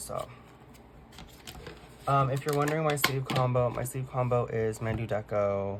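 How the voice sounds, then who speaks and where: A quiet man speaks with ordinary pitch variation. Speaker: K-pop collector vlogger. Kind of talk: casual chat. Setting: at home, late at night.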